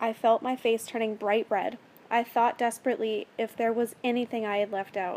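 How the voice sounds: What we hear is a natural reading voice.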